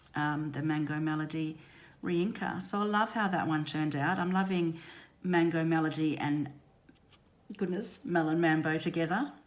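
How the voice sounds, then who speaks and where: Audible room echo surrounds a woman speaking at a moderate pace in a very deep, low pitch with ordinary pitch variation. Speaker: craft demonstrator. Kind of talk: tutorial. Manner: hesitant, many ums.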